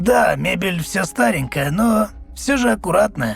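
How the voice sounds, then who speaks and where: A croaky, raspy, put-on character voice goes at a moderate pace while faint music plays in the background. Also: man, fairly high pitch for a man. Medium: read story. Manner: polite, homely.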